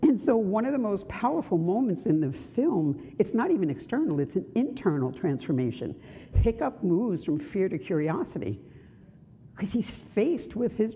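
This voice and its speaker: A woman with a Brooklyn accent speaks in a dark, mellow tone with very wide pitch swings and vocal fry. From Brooklyn, New York. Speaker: minister. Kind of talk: sermon.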